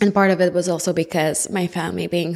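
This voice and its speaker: A woman talks at a moderate pace with a slight Quebec accent. Her fairly low pitch shows vocal fry and ordinary pitch variation. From Montreal, Quebec, Canada. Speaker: podcast host. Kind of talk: personal testimony. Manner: animated.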